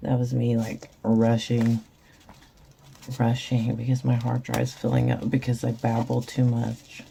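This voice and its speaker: In a very deep, low voice, a woman talks at a fairly slow pace with monotone, flat intonation and very even loudness. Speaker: resin crafter. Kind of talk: tutorial.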